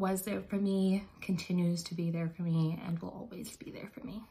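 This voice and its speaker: A somewhat breathy woman with an American accent speaks at a moderate pace, her fairly low pitch held in fairly even intonation. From North Attleboro, Massachusetts. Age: 20s. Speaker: mother. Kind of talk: personal testimonial to camera. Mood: earnest, emotional, reflective. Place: bathroom. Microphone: phone near.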